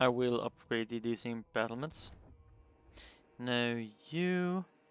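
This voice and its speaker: The speech is very slow. The words come out mumbled. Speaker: gaming video creator. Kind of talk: gameplay commentary. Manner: mumbling; halting.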